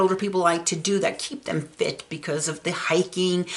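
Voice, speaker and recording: A woman with a normal speaking voice and an American accent, at a medium pitch and moderate pace with ordinary pitch variation. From Arizona, Phoenix. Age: 60s. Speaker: real estate video host. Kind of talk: informational vlog. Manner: casual, with frequent fillers.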